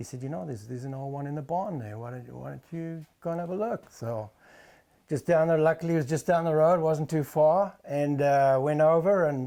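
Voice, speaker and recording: Pitched fairly high, a man with a South African accent speaks in a dark, mellow tone. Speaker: motorcycle restorer, former tack store owner. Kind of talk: casual interview.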